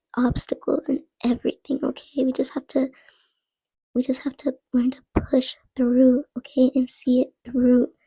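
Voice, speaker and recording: Soft-spoken and high-pitched, a woman talks at a fairly slow pace with a dark, mellow tone in a dry, close sound with no echo. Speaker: art content creator. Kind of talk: casual draw-along narration. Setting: home, late at night. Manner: soft-spoken, very quiet. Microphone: too quiet.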